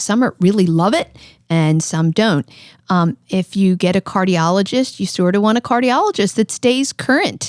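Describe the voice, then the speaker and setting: In an ordinary speaking voice, a woman talks at a moderate pace with lively intonation. The sound is dry and close, without echo. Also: medium pitch for a woman. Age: 60s. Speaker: cardiologist. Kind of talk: podcast interview. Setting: studio.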